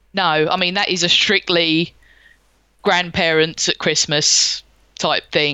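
With a London accent, a woman talks at a fairly slow pace and a fairly low pitch. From South London. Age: 40s. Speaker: gaming podcaster. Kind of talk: casual chat. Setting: home studio.

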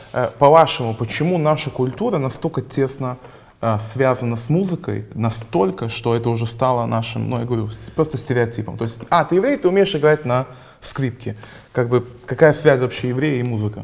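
The man has a plain, everyday voice at medium pitch. He talks at a fairly quick pace with ordinary pitch variation. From Israel. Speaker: podcast host. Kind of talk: casual chat.

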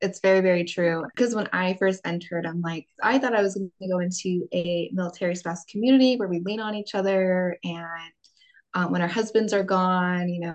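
A woman speaks in an ordinary speaking voice at medium pitch, with fairly even intonation and a moderate pace. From California. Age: 20s. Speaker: military spouse. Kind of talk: casual chat.

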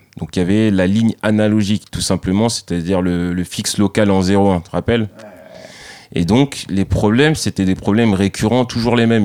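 With a dry, close sound and no echo, a man uses an ordinary speaking voice at fairly low pitch, a moderate pace, and ordinary pitch variation. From France, Saint-Denis (Paris suburbs), Antillean family. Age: 30s. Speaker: professional skateboarder. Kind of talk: casual interview.

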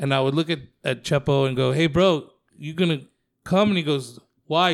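A man with an unremarkable speaking voice talks at a fairly quick pace, his pitch fairly high with ordinary variation, on a very clean recording with a silent background. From Mexican-American, US. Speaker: stand-up comedian. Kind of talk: casual chat. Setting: comedy club.

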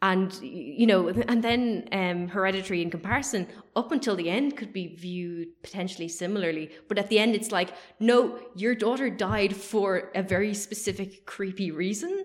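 Speaking at a medium pitch with ordinary pitch variation, a woman has an unremarkable speaking voice. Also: moderate pace. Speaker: film podcast host. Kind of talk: casual chat.

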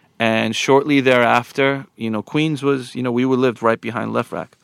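In a New York accent, a man talks at a moderate pace with flat, monotone intonation, and the sound is dry and close with no echo on a very clean recording with a silent background. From Long Island, New York, US. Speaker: DJ and podcast co-host. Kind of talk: casual chat.

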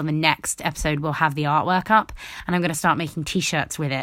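In a British accent, a woman speaks at a fairly quick pace with a fairly low pitch. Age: 20s. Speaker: podcaster. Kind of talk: casual solo monologue. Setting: alone in a room at home. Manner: animated.

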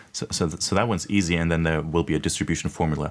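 A man's very deep, low voice at a very fast pace in a very clean recording with a silent background. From Germany (Munich). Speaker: esports league executive. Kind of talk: panel discussion.

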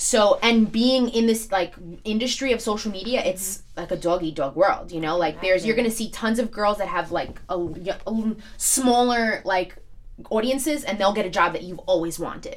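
A woman with a New York accent speaks fairly quickly at a fairly high pitch, with ordinary pitch variation. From New York, Staten Island. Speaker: social media influencer. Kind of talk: casual chat.

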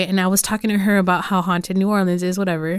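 A woman with a Spanish accent on a very clean recording with a silent background. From California Central Valley (Los Banos). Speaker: podcast host. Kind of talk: casual interview.

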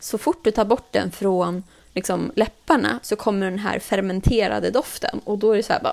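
A woman's medium-pitched voice with vocal fry, ordinary pitch variation, and a moderate pace. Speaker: podcast host. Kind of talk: casual chat.

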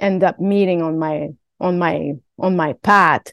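In a Quebec accent, a woman speaks at a medium pitch with ordinary pitch variation, her sound dry and close with no echo against a quiet background. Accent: Québécois French accent in English. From Quebec, Canada. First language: French. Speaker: stunt performer. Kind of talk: interview. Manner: halting, many fillers.

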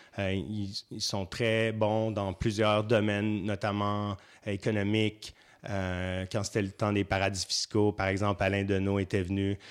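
A man's fairly low voice, monotone and flat, at a very slow pace on a very clean recording with a silent background. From Quebec, Saint-Hyacinthe. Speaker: festival programmer. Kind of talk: interview.

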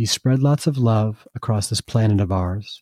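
On a very clean recording with a silent background, a man with an American accent speaks in a warm, gentle tone that is also dark and mellow. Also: dry, close sound with no echo. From US Northeast, Vermont. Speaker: artist and children's book author. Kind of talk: children's story reading aloud, rhyming picture-book verse. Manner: rhythmic sing-song rhyming cadence; warm, gentle storyteller delivery.

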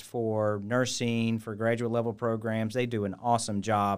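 Speaking with an American accent, a man at medium pitch delivers a monotone, flat line at a fairly slow pace on a very clean recording with a silent background. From US Midwest, Cincinnati, Ohio. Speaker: hospital executive. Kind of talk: interview.

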